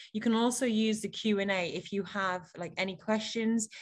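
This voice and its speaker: A woman speaks with an English accent. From England. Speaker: panel moderator. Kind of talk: panel moderation on video call. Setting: video call. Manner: animated.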